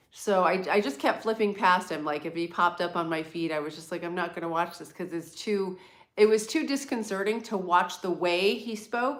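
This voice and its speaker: The speaker is a woman with an American accent and a medium pitch. She talks at a moderate pace with ordinary pitch variation. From US East Coast, near New York City. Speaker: livestream host. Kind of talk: casual live chat. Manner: clear.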